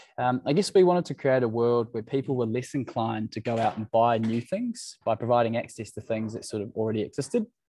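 A man with a New Zealand accent talks at a very fast pace with hardly any pauses, his dark, mellow voice dry with no echo over light background noise. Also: ordinary pitch variation. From New Zealand, Waikato. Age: 20s. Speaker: startup founder. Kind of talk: presentation. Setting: video call. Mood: friendly, lightly humorous. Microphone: video call.

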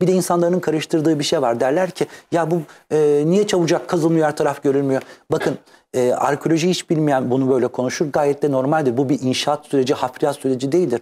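A man with a fairly high pitch talks at a fairly quick pace in a dark, mellow tone. His pitch variation is ordinary, and his loudness stays very even. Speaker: art historian and researcher; guest. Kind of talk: interview. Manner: fast. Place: studio. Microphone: lapel.

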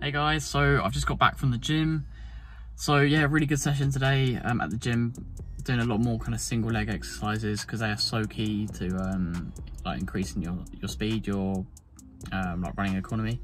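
Someone speaks at a moderate pace with clear music in the background. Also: man, fairly low pitch for a man. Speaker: running vlogger. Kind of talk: casual vlog chat. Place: car. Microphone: phone near.

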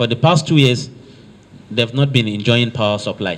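The voice has a Nigerian accent. Its pitch variation is ordinary. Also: man. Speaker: state works commissioner, visiting official. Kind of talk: formal official meeting address. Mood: earnest, measured appeal. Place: meeting room. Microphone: handheld.

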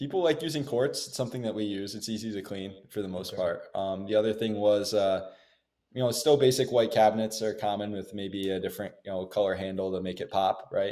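Here a man with an American accent talks at a fairly quick pace and a fairly low pitch. His tone is dark and mellow, and the background is quiet. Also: ordinary pitch variation. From US Northeast. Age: 20s. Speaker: real estate investor and agent; interview guest. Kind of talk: interview. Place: home room.

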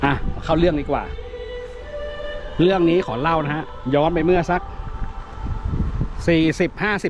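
A man with a fairly high voice talks in a fairly even intonation, the sound dry with no echo and noticeable background noise behind him. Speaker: ghost story narrator. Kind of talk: casual ghost story told to camera on location. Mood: dramatic, emotive delivery. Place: open country. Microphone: phone near.

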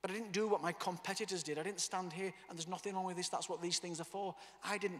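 In a high voice with an animated tone, a man speaks over a quiet background. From northern England. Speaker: motivational speaker and author; motivational speaker. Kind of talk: motivational talk. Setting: stage with audience. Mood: personal, emotional storytelling. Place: hall. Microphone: handheld.

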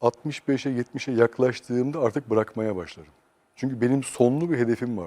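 The sound is dry and close with no echo, and the speech moves at a moderate pace with ordinary pitch variation. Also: man, medium pitch for a man. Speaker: psychosociologist. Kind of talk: interview. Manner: calm, quiet.

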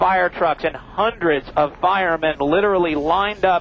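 The recording is dry with no echo, carrying light background noise. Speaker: helicopter news reporter. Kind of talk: live news commentary. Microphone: headset.

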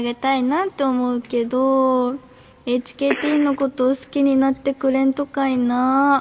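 In a Fukuoka accent, a woman speaks at a moderate pace. Her pitch is high. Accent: Hakata dialect. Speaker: idol group member. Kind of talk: radio show fan appeal. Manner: sweet, cute. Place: studio.

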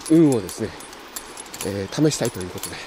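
The sound is dry, with no echo. Light background noise sits underneath. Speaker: angler vlogger. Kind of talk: casual vlog chat. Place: waterside. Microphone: phone near.

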